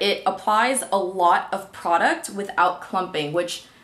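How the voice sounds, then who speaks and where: A woman's voice over noticeable background noise. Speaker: beauty youtuber. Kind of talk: monthly favorites product review to camera. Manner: fast; chatty, filler-heavy.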